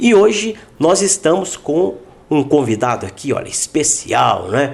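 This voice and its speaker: A man's fairly high voice with very wide pitch swings, a fairly slow pace and noticeable background noise. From Minas Gerais, Brazil. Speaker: podcast host. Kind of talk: casual interview chat.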